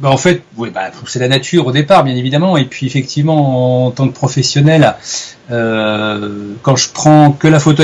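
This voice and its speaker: A man of medium pitch talks at a moderate pace with ordinary pitch variation. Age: 40s. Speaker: wildlife photographer. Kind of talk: interview. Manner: hesitant, many fillers.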